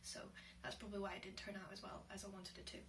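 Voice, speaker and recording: A woman at a medium pitch and a very fast pace, with audible room echo and noticeable background noise. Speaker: vlogger and aspiring writer. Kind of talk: casual vlog monologue. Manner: hesitant, many fillers.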